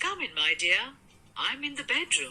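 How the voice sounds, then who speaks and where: A woman's squeaky, put-on character voice at a moderate pace. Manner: feigned sweetness.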